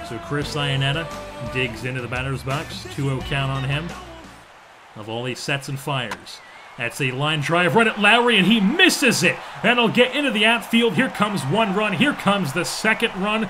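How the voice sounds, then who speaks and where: With music playing behind him, a man talks at a moderate pace in an energetic, enthusiastic tone, his pitch swinging very widely. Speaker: sports gaming commentator. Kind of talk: sports play-by-play broadcast.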